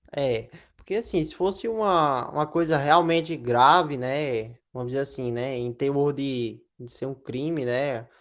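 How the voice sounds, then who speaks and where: A man speaks in a plain, everyday voice with a fairly high pitch for a man and ordinary pitch variation. He goes at a fairly slow pace with hardly any pauses against a quiet background. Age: 20s. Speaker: podcast guest. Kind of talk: casual chat.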